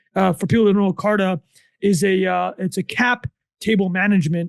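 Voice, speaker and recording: A man with a high pitch talks at a very fast pace in a dry, close recording with no echo and a quiet background. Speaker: podcast co-host. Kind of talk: casual chat. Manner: fast, animated; loud.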